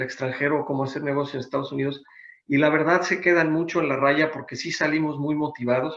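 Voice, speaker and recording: A man speaks at a fairly quick pace. His intonation stays fairly even. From Mexico City. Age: 60s. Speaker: business consultant. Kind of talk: seminar presentation. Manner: hesitant with fillers.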